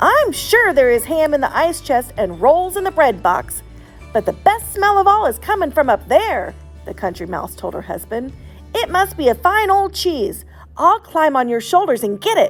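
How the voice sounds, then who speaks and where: Over clear background music, a woman uses a put-on character voice pitched high. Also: moderate pace. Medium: read story.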